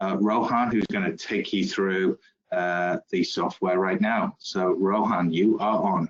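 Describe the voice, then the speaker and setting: With a British accent, a man speaks at a fairly slow pace with fairly even intonation and very even loudness, in a dry, close sound with no echo. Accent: British accent, mistaken for South African. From United Kingdom. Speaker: company executive. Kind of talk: presentation introduction. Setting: web-based demonstration. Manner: hesitant, many fillers.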